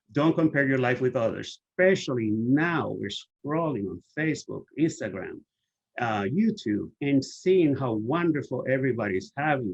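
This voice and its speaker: A man has a plain, everyday voice at a medium pitch. He speaks at a fairly slow pace with lively intonation. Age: 60s. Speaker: HIV activist and author presenting. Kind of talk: webinar presentation.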